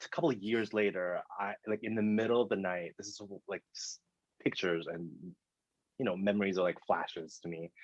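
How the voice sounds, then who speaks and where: Talking at a fairly quick pace, a man with a fairly low voice shows ordinary pitch variation and big swings in loudness. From Thailand, moved to Seattle at eleven. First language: Thai. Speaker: dancer and producer. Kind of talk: casual interview chat. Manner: hesitant, many fillers.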